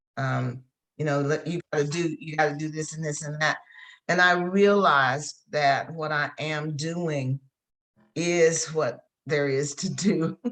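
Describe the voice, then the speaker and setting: This woman has a very deep, low pitch and an American accent. Her pace is fairly slow and her intonation fairly even. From Virginia, US. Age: 70s. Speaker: coach. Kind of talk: interview.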